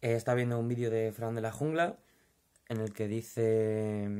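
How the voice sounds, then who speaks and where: Against a quiet background, a man speaks with a Madrid accent. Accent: Madrid Spanish (castizo). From Madrid, Spain. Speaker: vlogger, furniture company worker. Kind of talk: casual vlog monologue. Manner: informal, hesitant with fillers. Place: home room. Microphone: phone near.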